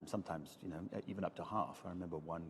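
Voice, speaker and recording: A man's dark, mellow tone at a very fast pace. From Wales. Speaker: scientist and conference organiser. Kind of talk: casual interview. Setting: empty lecture theatre.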